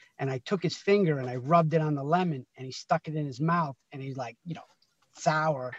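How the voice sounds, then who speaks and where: A man with an American accent speaks at a fairly quick pace in a fairly high, somewhat breathy voice with ordinary pitch variation and big swings in loudness. The sound is dry with no echo, and the background is quiet. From Connecticut, US. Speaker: guest. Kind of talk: casual chat. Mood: warm, anecdotal storytelling. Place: car. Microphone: video call.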